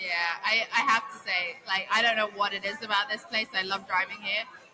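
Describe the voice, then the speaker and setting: A woman with a fairly high voice talks at a fairly quick pace over background music. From England. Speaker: racing driver. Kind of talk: casual chat. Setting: live show in a restaurant at a race event. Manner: animated.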